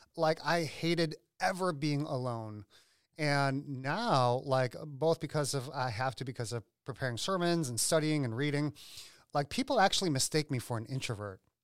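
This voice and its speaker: In a normal speaking voice, a man talks at a moderate pace with a fairly high pitch. The sound is dry and close with no echo, on a very clean recording with a silent background. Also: ordinary pitch variation. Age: 40s. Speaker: lead pastor. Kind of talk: casual chat.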